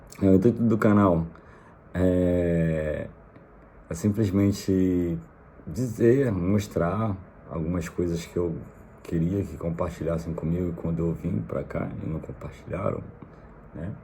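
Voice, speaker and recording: A man's very deep, low voice at a very slow pace, with ordinary pitch variation, long and frequent pauses, and audible room echo. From Brazil, Rio de Janeiro. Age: 30s. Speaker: vlogger, immigrant. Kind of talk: casual vlog monologue. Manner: hesitant, many fillers.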